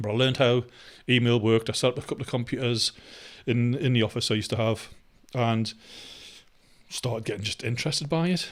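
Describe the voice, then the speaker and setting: In a Geordie accent, the speaker talks at a very fast pace broken by long, frequent pauses. The recording is very clean, with a silent background. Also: man, medium pitch for a man. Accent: Geordie, noticeable. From northeast England, Newcastle upon Tyne. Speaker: vlogger. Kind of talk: casual vlog monologue. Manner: hesitant, many fillers.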